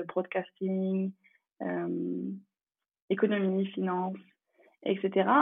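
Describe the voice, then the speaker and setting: This voice belongs to a woman. Its pitch lands in the medium range. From France. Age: 20s. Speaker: traveller and expat. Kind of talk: interview.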